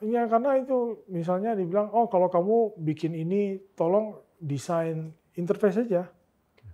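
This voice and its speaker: Hardly pausing, a man speaks in a high voice with a dark, mellow tone and ordinary pitch variation. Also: moderate pace, quiet background. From Pontianak, West Kalimantan, Indonesia; West Kalimantan, Indonesia. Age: 30s. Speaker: tech company co-founder; guest. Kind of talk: interview; interview answer. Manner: halting. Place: studio.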